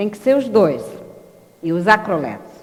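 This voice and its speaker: A woman talks at a moderate pace with very wide pitch swings. Room echo is audible. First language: French (speaking Portuguese). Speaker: linguistics educator. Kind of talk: lecture. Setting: live online broadcast.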